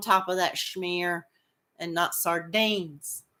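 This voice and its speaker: A loud woman's voice, bright and sharp in tone, at a fairly slow pace, in a very clean recording with a silent background. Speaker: crochet livestream host. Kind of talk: casual chat with live viewers. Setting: livestream. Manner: halting, repeats words.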